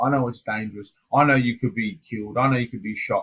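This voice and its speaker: With an Australian accent, a man talks at a very fast pace in an animated tone. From Australia, Adelaide. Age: 30s. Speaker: MMA fighter. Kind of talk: casual interview chat. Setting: hotel quarantine room.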